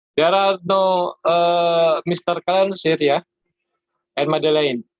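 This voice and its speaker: A man with an Indonesian accent, high pitch, very slow pace and fairly even intonation, in dry, close sound with no echo. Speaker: conference session chair. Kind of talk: online conference session moderation. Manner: halting, many fillers.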